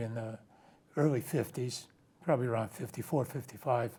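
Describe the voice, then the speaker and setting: The man's voice sits at medium pitch and is somewhat breathy. His pace is fairly quick and his intonation fairly even. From New Jersey, US (Ukrainian community in Newark). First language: Ukrainian. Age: 80s+. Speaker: retired accountant, guest. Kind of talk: interview conversation. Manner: halting, many fillers.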